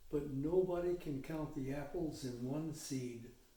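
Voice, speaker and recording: A dark, mellow tone at a fairly slow pace, with ordinary pitch variation and audible room echo. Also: man. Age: 80s+. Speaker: retired missionary. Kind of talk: interview. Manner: reflective, measured.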